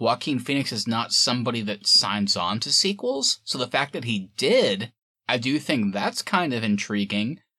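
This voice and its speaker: Against a quiet background, a man of medium pitch speaks at a moderate pace in a bright, sharp tone with lively intonation. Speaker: podcast host. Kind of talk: casual chat. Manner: animated.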